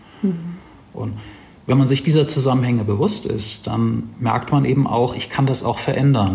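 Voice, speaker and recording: There is noticeable background noise behind a man's voice. He speaks at a moderate pace with ordinary pitch variation. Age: 40s. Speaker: life coach. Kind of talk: interview.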